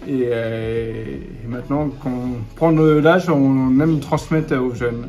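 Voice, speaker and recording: A man at a very slow pace, with audible room echo and music in the background. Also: medium pitch for a man, ordinary pitch variation. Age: 40s. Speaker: referee trainer. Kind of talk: interview. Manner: halting.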